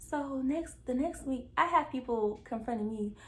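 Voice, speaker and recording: A woman's somewhat breathy voice carries an animated tone and lively intonation. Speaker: YouTuber. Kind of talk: storytime. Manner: fast.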